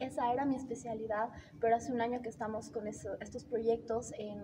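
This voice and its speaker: A woman talks at a very fast pace with fairly high pitch and fairly even intonation. Noticeable background noise runs under her voice. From Bolivia. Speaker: AI researcher. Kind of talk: interview. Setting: conference.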